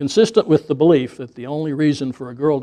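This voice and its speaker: With a quiet background, a man with a fairly high pitch and a dark, mellow tone speaks at a fairly quick pace with ordinary pitch variation. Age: 70s. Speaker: retirement community resident reading own essays. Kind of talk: reading aloud own essay. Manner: formal.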